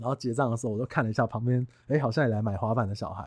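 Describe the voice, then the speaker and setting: A man speaks in an animated tone against a quiet background. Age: 30s. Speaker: real estate agent and podcast host. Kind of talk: casual monologue.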